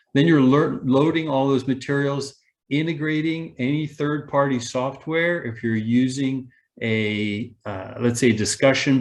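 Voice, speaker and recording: At a fairly slow pace, a man uses a plain, everyday voice with ordinary pitch variation over a quiet background. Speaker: online learning presenter. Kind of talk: webinar presentation.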